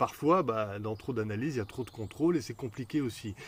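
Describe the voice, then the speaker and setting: Fairly quick speech from a man, ordinary in pitch variation, on a very clean recording with a silent background. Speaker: hypnotherapist. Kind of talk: Q&A video talk. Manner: fast.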